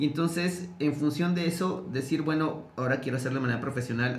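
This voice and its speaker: Noticeable background noise and audible room echo around a man talking at a fairly quick pace. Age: 40s. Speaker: TV journalist and media program director. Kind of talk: casual interview conversation.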